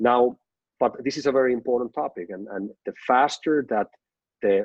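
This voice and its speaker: At a medium tempo, the voice moves through normal pitch changes. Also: man. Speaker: company executive giving business update. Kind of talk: business presentation on group call. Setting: online conference call. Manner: hesitant, repeats words.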